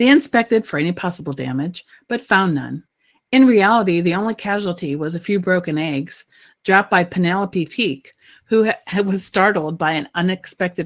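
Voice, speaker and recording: Lively intonation marks this woman's speech. Her recording is very clean, with a silent background. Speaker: author and narrator. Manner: measured, clear and neutral, reading aloud in a smooth, storytelling pace; casual, hesitant and filler-heavy in the commentary.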